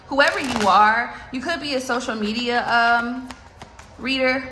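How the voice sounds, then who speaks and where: A woman's fairly high voice with ordinary pitch variation, amid audible room echo and noticeable background noise. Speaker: tarot reader. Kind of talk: tarot reading. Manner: fast; animated.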